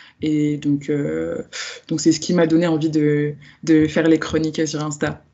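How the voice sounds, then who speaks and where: At a fairly slow pace, a woman with a very deep, low pitch speaks in a monotone, flat intonation. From France, Lyon. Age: 20s. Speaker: book influencer and book club founder. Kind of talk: podcast interview. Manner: hesitant, many fillers.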